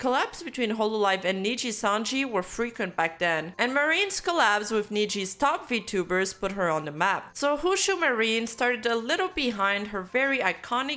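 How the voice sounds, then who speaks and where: A moderate-paced voice with a French Canadian accent and very wide pitch swings. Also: woman. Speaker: VTuber commentator. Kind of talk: video essay narration.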